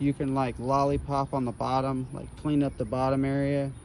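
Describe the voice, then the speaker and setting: Mumbling at a moderate pace, a man talks at medium pitch in a dark, mellow tone. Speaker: gardening vlogger. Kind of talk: garden tour tutorial. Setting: outdoors in garden. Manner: casual, filler-heavy.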